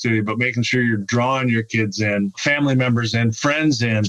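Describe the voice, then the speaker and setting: The man speaks at a medium pitch with ordinary pitch variation. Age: 60s. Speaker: business development executive, guest. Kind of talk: podcast interview. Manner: animated.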